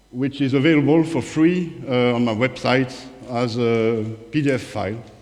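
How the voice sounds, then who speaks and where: The speaker has a strong French accent and ordinary pitch variation. Room echo is audible. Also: man. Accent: thick French. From France, Paris. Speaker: author and independent researcher, former strategy consultant. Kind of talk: conference presentation. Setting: conference talk with audience. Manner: hesitant, many fillers.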